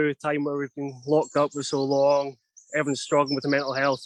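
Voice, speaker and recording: A man with a Scottish accent, fairly high pitch and monotone, flat intonation, in a dry, close sound with no echo. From Scotland. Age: 30s. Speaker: outdoor adventure instructor. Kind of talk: live virtual tour talk. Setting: outdoors in a forest on a video stream. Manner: fast.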